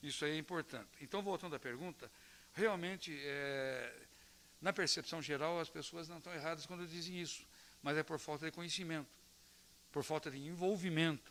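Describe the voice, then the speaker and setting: A man's fairly high voice at a moderate pace, broken by long, frequent pauses. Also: fairly even intonation. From Brazil, Palmeira. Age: 60s. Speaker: local politician. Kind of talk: round-table talk to students. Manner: hesitant with repetitions.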